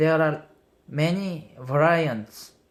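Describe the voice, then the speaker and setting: Speaking with a non-native accent, a man uses a fairly high pitch. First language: not English. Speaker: vlogger. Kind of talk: casual monologue. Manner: halting.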